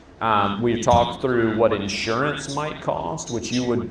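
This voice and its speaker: A speaker with an American accent talks at a moderate pace with fairly even intonation. Noticeable background noise and audible room echo are present. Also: man. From Minnesota. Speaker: local elected official. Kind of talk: town hall Q&A. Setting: public meeting at a restaurant.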